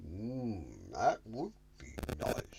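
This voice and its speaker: A man speaks in a put-on character voice. Clear background noise runs behind him. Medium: read story. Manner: slow, mooing "mm".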